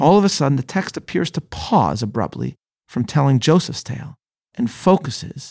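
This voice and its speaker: Recorded very cleanly with a silent background and a dry, close sound with no echo, a man at medium pitch speaks at a moderate pace with vocal fry and very wide pitch swings. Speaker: Torah teacher and podcast host. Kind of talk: scripted educational talk on Bible study, with passages read aloud; literary audiobook reading of Genesis verses and a quoted commentary passage. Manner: measured, formal, earnest.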